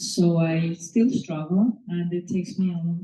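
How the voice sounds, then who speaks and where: A woman speaks at a fairly low pitch with a dark, mellow tone. Her voice is somewhat breathy, and her intonation is fairly even. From Mexico City. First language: Spanish. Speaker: author. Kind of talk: speech at a reading. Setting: live event with audience. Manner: hesitant, many fillers.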